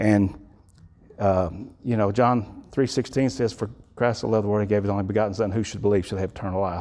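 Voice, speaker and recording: A man with a Texan accent talks at a fairly quick pace in a dark, mellow tone. His pitch is fairly low and his intonation fairly even. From Texas (Electra / Wichita Falls, north Texas). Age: 60s. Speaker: guest speaker. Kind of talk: testimony. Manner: halting, with repetitions.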